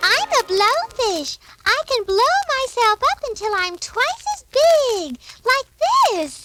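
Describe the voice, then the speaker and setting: This is a put-on character voice, squeaky and extremely high-pitched. It moves at a fairly slow pace. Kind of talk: 1940s children's record. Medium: audio drama.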